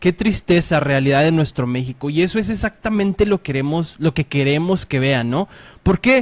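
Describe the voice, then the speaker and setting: A man's animated, fairly high-pitched delivery with lively intonation at a moderate pace, in a dry, close sound with no echo. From Mexico, Ciudad Juárez, Chihuahua. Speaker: political internet show host. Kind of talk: casual political talk show.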